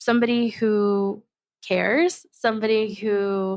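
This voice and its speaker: The audio is very clean, with total silence behind it. Her intonation, as a woman, stays fairly level throughout. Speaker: podcast host and diversity consultant. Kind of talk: solo podcast reflection.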